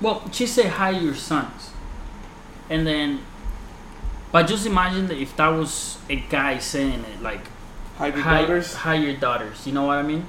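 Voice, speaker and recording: A man with a fairly high voice talks at a fairly slow pace with long, frequent pauses and ordinary pitch variation, amid noticeable background noise and audible room echo. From Colombia, moved to the US around age 11. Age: 20s. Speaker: podcast host. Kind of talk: casual chat.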